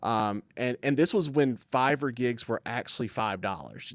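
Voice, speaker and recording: A man speaks in a Southern US accent with ordinary pitch variation. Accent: Southern US, grown stronger over the years. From US South, coastal Alabama. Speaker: video production business owner. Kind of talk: podcast interview. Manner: halting, many fillers and restarts.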